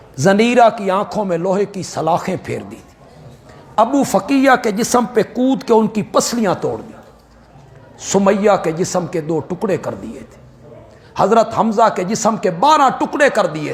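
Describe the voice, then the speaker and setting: Over noticeable background noise, a man with a high-pitched voice speaks in a passionate tone, his loudness swinging widely while his pitch varies in an ordinary way. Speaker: Islamic scholar and preacher. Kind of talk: Urdu religious sermon on Quranic commentary and Islamic history. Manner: passionate, emotional, oratorical.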